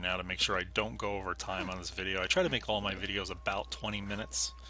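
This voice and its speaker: Speaking very fast, this man has a very deep, low pitch and a bright, sharp tone with vocal fry. His pitch swings very widely. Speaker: gaming video creator. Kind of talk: let's play commentary.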